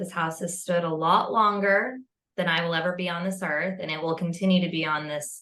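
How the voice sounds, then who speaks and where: Moderate pacing with an American accent. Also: woman. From California. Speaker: podcast host, paranormal storyteller. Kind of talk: casual interview chat.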